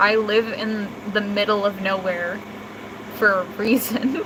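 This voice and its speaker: With noticeable noise behind her, a woman talks very slowly. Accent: American. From United States. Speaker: livestreamer. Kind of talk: casual chat. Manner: calm, monotone.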